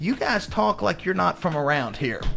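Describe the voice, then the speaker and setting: Music plays in the background. A man with a Southern US accent speaks at a fairly quick pace. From Oklahoma. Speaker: professor and author. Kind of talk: radio interview. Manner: hesitant, many fillers and repetitions.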